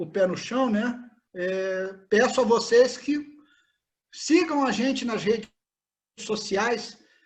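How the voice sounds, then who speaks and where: A man's extremely high-pitched voice with lively intonation at a very slow pace. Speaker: hiking group organizer. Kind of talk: event introduction. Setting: video call.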